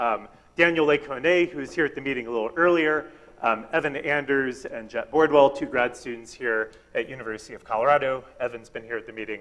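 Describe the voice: A man speaks fairly quickly with few pauses, at a medium pitch. His tone is fairly bright, with ordinary pitch variation.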